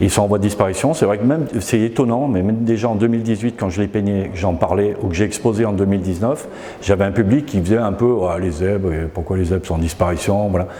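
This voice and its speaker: The words rush out very fast while noticeable background noise fills the space. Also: man, fairly low pitch for a man, ordinary pitch variation. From France, Isère (Grande Chartreuse, near Grenoble). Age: 60s. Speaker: painter and graphic artist. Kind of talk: interview. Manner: hesitant, many fillers.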